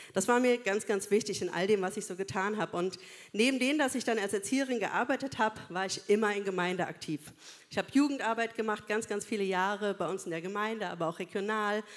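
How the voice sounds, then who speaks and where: A woman at a very fast pace, medium pitch, and ordinary pitch variation. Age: 40s. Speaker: social worker and church speaker. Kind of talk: sermon.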